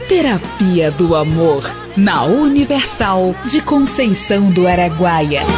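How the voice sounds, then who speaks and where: Over clear background music, a woman at a medium pitch speaks at a very slow pace with very wide pitch swings. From Brazil. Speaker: voice-over announcer. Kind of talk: radio / sound-car advertisement read. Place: studio.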